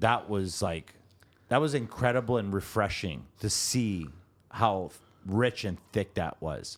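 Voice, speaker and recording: A normal speaking voice, fairly slow with lively intonation, on a very clean recording with a silent background. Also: man, fairly low pitch for a man. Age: 50s. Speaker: drywall tradesman and co-host. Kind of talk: casual chat.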